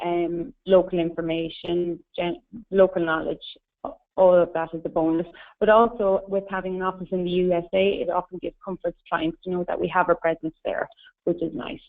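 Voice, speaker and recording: In an Irish accent, a woman speaks fairly quickly at a fairly low pitch with fairly even intonation. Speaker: tour company representative. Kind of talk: webinar presentation. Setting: webinar.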